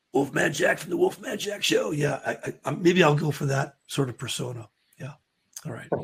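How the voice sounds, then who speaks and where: With an American accent, a man speaks at a moderate pace in a fairly high, somewhat breathy voice, showing ordinary pitch variation and big swings in loudness. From not US. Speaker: trading show host. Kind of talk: casual chat. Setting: livestream. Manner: halting.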